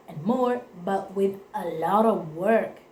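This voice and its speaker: With an Italian accent, a woman speaks very slowly amid noticeable background noise and audible room echo. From Italy. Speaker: vlogger. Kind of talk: personal testimony to camera. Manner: halting, self-correcting.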